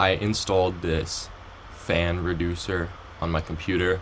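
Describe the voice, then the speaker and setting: There is audible room echo around a man with a very deep, low voice. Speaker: Roblox game dev tutorial youtuber. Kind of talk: tutorial. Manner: hesitant, many ums; trying to sound more enthusiastic.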